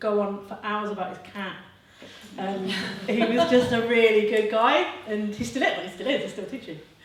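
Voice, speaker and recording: A woman with an English accent talks at a moderate pace, her medium pitch moving with ordinary variation. The room echoes audibly and background noise is noticeable. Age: 40s. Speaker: artist and illustrator. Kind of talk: panel discussion. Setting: gallery event with audience. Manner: casual, halting with fillers.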